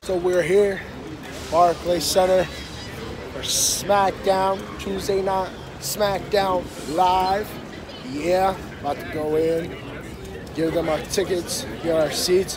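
Very slow, monotone, flat speech with long, frequent pauses, a dry sound with no echo, and crowd noise in the background. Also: man, high pitch for a man. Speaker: vlogger. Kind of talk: casual vlog chat. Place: street. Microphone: phone near.

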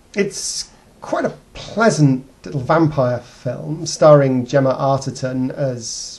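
Very slow speech from a man with a dark, mellow tone, somewhat breathy and fairly even in intonation. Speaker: video blogger. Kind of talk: casual vlog film review. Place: home room. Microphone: webcam.

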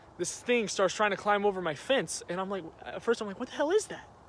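A man is speaking with ordinary pitch variation. The sound is dry with no echo. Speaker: vlogger. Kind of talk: dramatic storytelling vlog, staged. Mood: agitated, mock-scared. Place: garden. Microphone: phone near.

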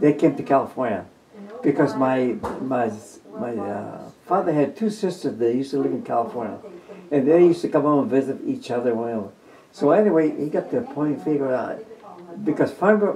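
A man's fairly high-pitched voice at a fairly quick pace, with very wide pitch swings over noticeable background noise. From New Mexico. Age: 90s. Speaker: war veteran. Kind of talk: interview. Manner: halting.

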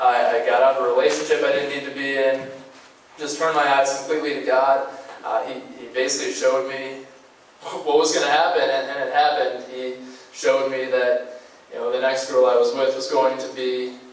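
Audible room echo follows a man as he speaks at a fairly quick pace. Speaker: guest. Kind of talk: sermon. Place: church.

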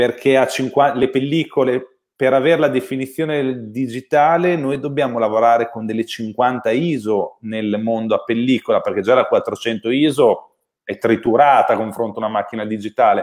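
Against a quiet background, a man talks at a moderate pace and medium pitch with ordinary pitch variation. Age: 30s. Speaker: camera expert; guest. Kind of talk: technical discussion. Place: home room. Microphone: video call.

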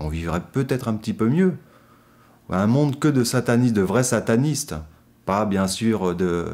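A man talks slowly enough to sound fairly slow, his fairly low voice carrying lively intonation. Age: 40s. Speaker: practising occultist; interviewee. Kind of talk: interview. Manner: hesitant, many fillers. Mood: calm, earnest. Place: studio.

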